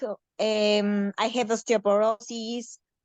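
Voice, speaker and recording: A woman with a Mexican accent, at a very slow pace. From Mexico. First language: Spanish. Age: 30s. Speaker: participant with anorexia. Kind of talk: personal testimony in a Q&A. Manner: halting with many fillers.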